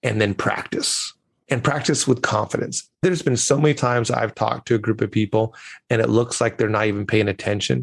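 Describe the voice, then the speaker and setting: At a fairly quick pace, a somewhat breathy voice keeps very even loudness and ordinary pitch variation. The recording is very clean with a silent background, and the sound is dry and close with no echo. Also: man, medium pitch for a man. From grew up abroad as son of missionaries. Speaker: communication coach and keynote speaker. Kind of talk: interview. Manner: animated.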